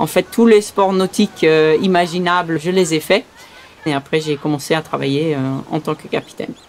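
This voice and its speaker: A woman talks at a moderate pace with ordinary pitch variation. Her pitch sits fairly low. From Saint-Martin, Caribbean (Belgian parents). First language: Dutch (speaking French). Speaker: sea rescue boat skipper. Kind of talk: testimony. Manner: hesitant with frequent fillers.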